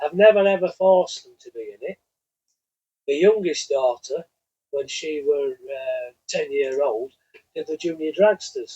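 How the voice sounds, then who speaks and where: A man with a northern English accent talks fairly slowly, with long, frequent pauses and big swings in loudness. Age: 60s. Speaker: drag racer. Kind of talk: casual chat.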